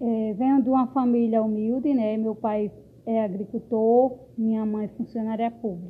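This woman has a fairly high pitch and fairly even intonation, talking at a moderate pace in an unremarkable speaking voice. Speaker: local political candidate. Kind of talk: campaign self-introduction.

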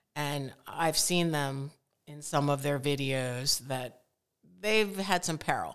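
A woman with an American accent and a very deep, low pitch talks at a very slow pace with ordinary pitch variation. Her loudness swings widely on a very clean recording with a silent background. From Connecticut. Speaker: photographer. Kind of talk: casual chat.

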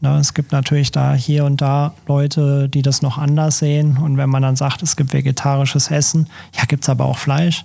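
In a dark, mellow tone, a somewhat breathy man speaks at a moderate pace with fairly high pitch, monotone, flat intonation and very even loudness. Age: 30s. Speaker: photographer. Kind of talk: podcast interview.

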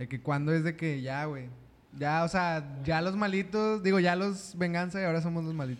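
Speaking at a moderate pace, a man with a high voice shows ordinary pitch variation. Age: 20s. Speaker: podcast host. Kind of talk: casual chat.

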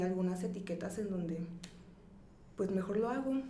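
A woman's medium-pitched voice carries audible room echo and noticeable background noise. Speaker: psychologist and sex educator. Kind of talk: interview.

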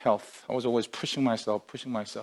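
A man speaks with a non-native accent and fairly even intonation. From outside North America, moved to Canada. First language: not English. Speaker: pastor. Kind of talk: sermon. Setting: online livestreamed service.

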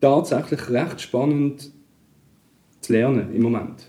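Dark and mellow in tone, a man talks with ordinary pitch variation. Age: 40s. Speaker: digital journalist and DJ. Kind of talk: casual interview.

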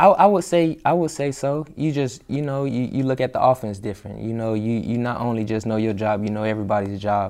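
In an ordinary speaking voice, a man with an American accent talks at a fairly quick pace with hardly any pauses, medium pitch and ordinary pitch variation. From Florida. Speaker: professional football player. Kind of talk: interview.

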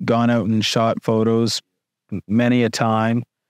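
In a quiet background, a man speaks at a fairly slow pace. His pitch is medium. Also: dry, close sound with no echo. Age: 20s. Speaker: musician. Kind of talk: casual chat. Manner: halting.

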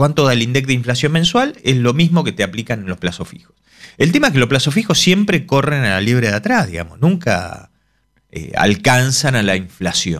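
Speaking at a moderate pace, a man makes very wide pitch swings. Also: medium pitch for a man. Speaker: economist. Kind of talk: casual chat.

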